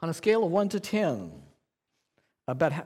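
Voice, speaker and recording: The man's pitch swings very widely as he speaks. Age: 60s. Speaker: preacher. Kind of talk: sermon. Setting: church.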